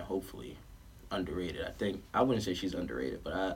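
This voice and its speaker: A very fast-talking man with an American accent, with audible room echo. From New York, Queens (Southside Jamaica). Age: 20s. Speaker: clothing brand founder and basketball coach. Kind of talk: casual chat.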